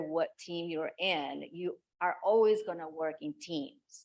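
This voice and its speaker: A woman with a non-native accent talks at a fairly slow pace, her pitch varying in an ordinary way. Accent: foreign. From outside the US. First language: not English. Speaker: pharmaceutical scientist. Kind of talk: panel discussion.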